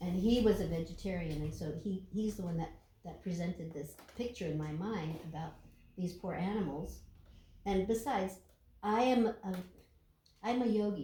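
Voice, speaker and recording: Long, frequent pauses break up a woman's somewhat breathy, dark, mellow voice, with audible room echo. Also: medium pitch for a woman, ordinary pitch variation, moderate pace. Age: 70s. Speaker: yogi and podcast co-host. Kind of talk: casual chat.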